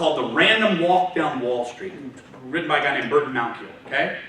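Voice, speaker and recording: In a Texan accent, a man speaks with fairly high pitch and very wide pitch swings. Room echo is audible, along with noticeable background noise. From Texas, Houston area. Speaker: trader, guest speaker. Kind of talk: talk to students. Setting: university lecture room with audience. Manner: fast; loud.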